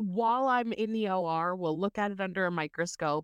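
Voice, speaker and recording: Over a quiet background, a normal speaking voice moves at a fairly slow pace with lively intonation. The sound is dry and close, with no echo. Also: woman. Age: 30s. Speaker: cancer patient and new mother. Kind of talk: casual interview.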